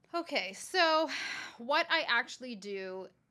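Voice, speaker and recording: A woman talks at a very slow pace. Her bright, sharp tone moves in very wide pitch swings. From Toronto, Canada and southern Italy (Calabria). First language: Calabrese dialect, then Italian. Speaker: private chef. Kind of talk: casual chat.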